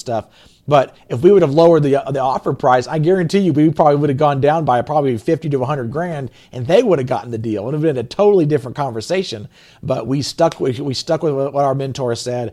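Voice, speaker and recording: Talking at a very fast pace, a man with an American accent has a dark, mellow tone, a fairly high pitch and ordinary pitch variation. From US South. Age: 30s. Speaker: real estate investor. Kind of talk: interview.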